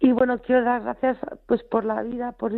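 A woman speaks with monotone, flat intonation. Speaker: radio caller. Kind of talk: phone-in testimony. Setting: phone call. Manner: halting.

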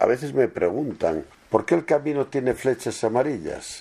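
A man's dark, mellow voice at a moderate pace. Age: 70s. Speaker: pilgrim. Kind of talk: interview.

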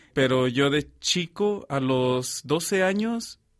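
In a very clean recording with a silent background, a man talks at a fairly high pitch with ordinary pitch variation. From Mexico. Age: 20s. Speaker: seminarian. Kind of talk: testimony. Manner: halting.

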